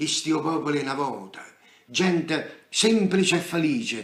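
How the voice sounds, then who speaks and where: The speaker has a Neapolitan accent. The intonation is lively. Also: man. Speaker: stage actor. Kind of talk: poetry reading. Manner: theatrical, emotional; nostalgic, melancholic.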